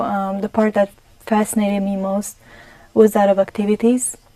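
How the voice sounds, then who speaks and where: Her voice is medium in pitch and dark, mellow in tone, delivered with monotone, flat intonation in a Romanian accent. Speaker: gerontologist. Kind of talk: TV interview. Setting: TV studio.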